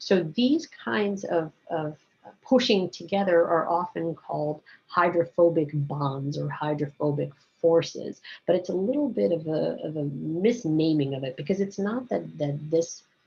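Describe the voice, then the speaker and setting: Somewhat breathy and fairly low-pitched for a woman, her voice has lively intonation. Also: fairly slow pace. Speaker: biology teacher. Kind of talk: recorded lecture. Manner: casual, conversational with fillers.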